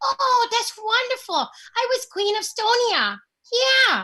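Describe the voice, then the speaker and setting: A woman uses a put-on character voice, squeaky and extremely high in pitch. She talks at a fairly slow pace with ordinary pitch variation. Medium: stage play. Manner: folksy, scolding yet mischievous.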